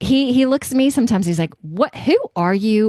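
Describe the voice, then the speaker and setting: Loud, dark and mellow in tone, with very wide pitch swings at a moderate pace, in a dry, close sound with no echo. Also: woman. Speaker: podcast host. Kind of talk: reading aloud; interview.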